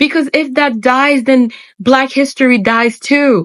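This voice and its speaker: A woman speaks in a high pitch with a Haitian accent. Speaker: spiritual YouTuber. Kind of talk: monologue to camera. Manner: animated.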